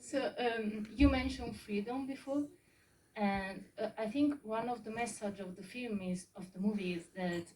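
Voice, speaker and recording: A woman's medium-pitched voice in an Italian accent, moderate pace, ordinary pitch variation. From Italy. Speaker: audience member. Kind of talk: audience question. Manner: halting.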